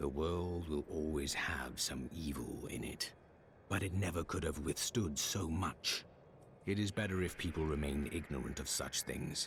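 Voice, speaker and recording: Over clear background noise, a man does a put-on character voice at a very deep, low pitch. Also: moderate pace. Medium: video game. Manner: calm, terse, serious.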